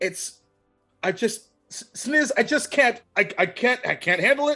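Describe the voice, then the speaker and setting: Over faint background music, a woman shouts in a shrill, put-on character voice, fairly high-pitched and fairly slow. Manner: exasperated, shouting.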